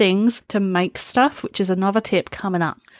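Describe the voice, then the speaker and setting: A woman talks at a moderate speed. There is no echo, and the sound is close and dry. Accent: British. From UK. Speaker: streamer and podcast host. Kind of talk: solo casual talk. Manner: animated.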